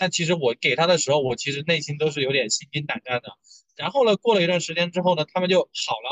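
This man talks at a very fast clip with lively intonation. His pitch sits high. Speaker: podcast co-host. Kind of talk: casual chat.

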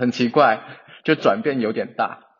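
A man speaks at a very slow pace. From China. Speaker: English-major graduate. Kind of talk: casual chat. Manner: halting, frequent repetitions.

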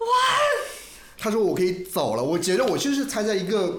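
The man speaks fairly quickly, with audible room echo and noticeable background noise in the recording. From Hunan, China. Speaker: livestreamer. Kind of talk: casual chat.

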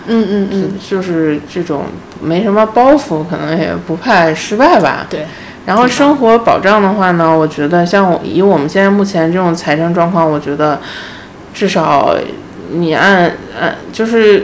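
A woman talks at a fairly slow pace with lively intonation. Room echo is audible, and background noise is noticeable. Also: medium pitch for a woman. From Beijing, China. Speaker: independent designer. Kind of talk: casual chat. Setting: host's home.

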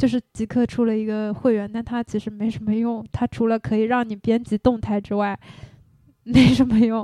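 Her voice is fairly high, with a dark, mellow tone and monotone, flat intonation. The woman talks at a moderate pace in a dry, close sound with no echo. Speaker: former education worker, now freelancer. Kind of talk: casual chat.

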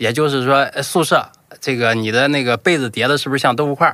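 With a Shandong accent, a man talks at a moderate pace in a bright, sharp tone. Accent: rural Shandong-accented Mandarin. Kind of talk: casual chat.

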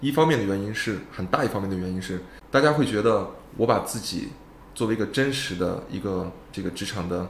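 A man speaks in a fairly low voice with ordinary rises and falls in pitch, and the room echo is audible. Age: 30s. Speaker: startup founder, former headhunter. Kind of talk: casual interview.

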